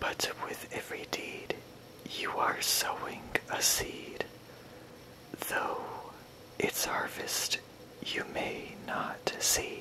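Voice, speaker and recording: The speaker whispers. The pace is very slow, with long, frequent pauses. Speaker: poetry reader. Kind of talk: ASMR poetry reading. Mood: gentle and soothing. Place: home room.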